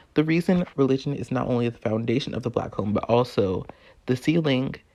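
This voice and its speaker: In an ordinary speaking voice, a man talks at medium pitch, his pitch varying in an ordinary way. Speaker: video essayist and podcast host. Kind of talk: spoken word essay.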